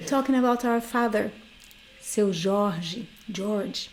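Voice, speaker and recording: With a Brazilian Portuguese accent, a woman speaks at a very slow pace and a fairly high pitch, with ordinary pitch variation. Room echo is audible. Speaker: guitarist and workshop teacher. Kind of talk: online workshop lecture.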